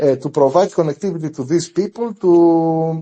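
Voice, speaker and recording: A man speaks with a Greek accent. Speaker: community member of a crypto group. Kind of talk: interview questions in live audio space. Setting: online audio space. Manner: halting, many fillers.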